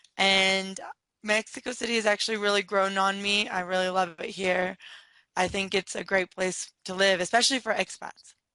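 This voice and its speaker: A woman with a Californian accent speaks at a moderate pace and a medium pitch, her tone bright and sharp. Her intonation is flat and monotone, recorded dry and close with no echo against a quiet background. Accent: Californian American. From San Diego, California. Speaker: entrepreneur. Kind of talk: interview.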